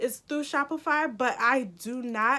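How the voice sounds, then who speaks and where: Her raised, projected voice is high-pitched with a bright, sharp tone and fairly even intonation. The woman is recorded very cleanly against a silent background. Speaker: youtuber, small online shop owner. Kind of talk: tutorial. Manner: casual, chatty.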